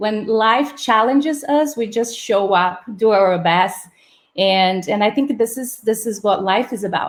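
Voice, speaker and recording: A woman with a Portuguese accent and a fairly high pitch. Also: ordinary pitch variation, fairly slow pace. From Brazil. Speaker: startup housing operations manager. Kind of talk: live-streamed interview. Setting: live video stream. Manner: hesitant, many fillers.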